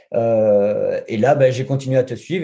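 This man's voice is fairly high-pitched and somewhat breathy, with a dark, mellow tone. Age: 40s. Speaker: junior web developer. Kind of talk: interview. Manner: halting.

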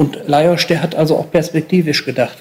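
Fairly quick and flat in monotone, a man speaks at a fairly high pitch. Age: 50s. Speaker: sports journalist. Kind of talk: interview recollection.

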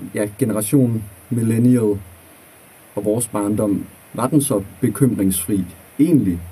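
Here is a man with a medium pitch and ordinary pitch variation. His tone is dark and mellow and somewhat breathy. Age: 20s. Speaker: student teacher. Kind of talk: casual chat.

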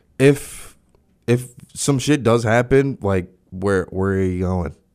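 Lively in intonation, a man speaks at a fairly low pitch with a dark, mellow tone. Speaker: podcast host. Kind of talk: casual banter, comedic chat, with a profane angry rant near 47:19. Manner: rambling, filler-heavy, profane, heated and indignant in the rant.

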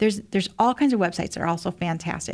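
On a very clean recording with a silent background, a woman with a Midwestern US accent speaks at a very fast pace. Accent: US Midwest. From Indiana, small town. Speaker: former federal agent and safety speaker. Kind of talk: interview.

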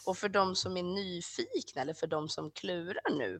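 A woman speaks at a fairly slow pace. The sound is dry and close with no echo, over a quiet background. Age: 30s. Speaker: sexology student. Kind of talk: interview.

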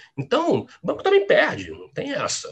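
A man speaks at a moderate pace. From Rio Grande do Sul, raised in Rio de Janeiro from age 10. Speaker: quantitative trader. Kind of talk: interview. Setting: live stream.

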